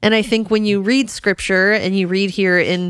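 A woman speaks in a normal speaking voice at a moderate pace. Her intonation is fairly even, and the recording is very clean with a silent background. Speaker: Bible podcast co-host. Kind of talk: casual Bible discussion.

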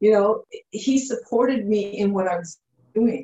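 A woman with a Canadian accent speaks at a moderate pace, somewhat breathy and fairly high-pitched, with lively intonation. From Canada, Ottawa, Ontario. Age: 50s. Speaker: fitness trainer. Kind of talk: interview.

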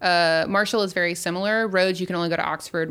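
Very fast speech from a woman with an American accent, fairly even intonation, on a very clean recording with a silent background. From US South, Baton Rouge, Louisiana. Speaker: community relations worker. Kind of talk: casual chat.

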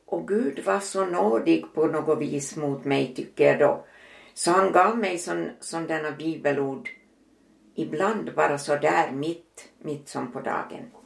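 A woman's very deep, low voice, very slow in pace yet lively in intonation. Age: 80s+. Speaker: mother and grandmother. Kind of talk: casual interview, personal testimony.

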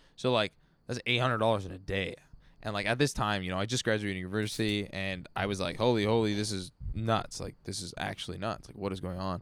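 Using an unremarkable speaking voice, a man talks at a fairly quick pace in a fairly low pitch with fairly even intonation. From Vancouver, Canada. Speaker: musician. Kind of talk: casual chat. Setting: backyard studio.

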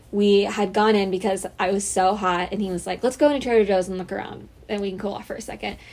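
A woman speaks at a medium pitch. Hers is an ordinary speaking voice. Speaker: college podcast co-host. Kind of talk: casual chat.

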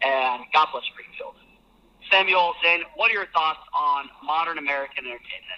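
A man's fairly high-pitched voice, an ordinary speaking voice, at a moderate pace. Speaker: listener. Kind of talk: voice memo rant.

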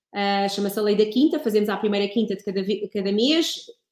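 The speaker has a plain, everyday voice. Delivery is at a fairly quick pace with ordinary pitch variation. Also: woman. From Portugal, Ribatejo. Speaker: wine producer and communications consultant. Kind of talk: casual interview.

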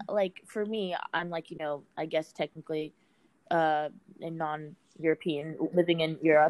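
In a Virginia accent, a woman with a very deep, low pitch speaks at a fairly slow pace in a flat monotone, the sound dry and close with no echo. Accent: Virginia American. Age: 20s. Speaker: podcast host. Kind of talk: casual interview; podcast intro.

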